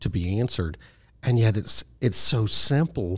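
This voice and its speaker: On a very clean recording with a silent background, a man speaks at a fairly slow pace in a fairly low, somewhat breathy voice. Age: old. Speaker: radio host. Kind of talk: casual chat.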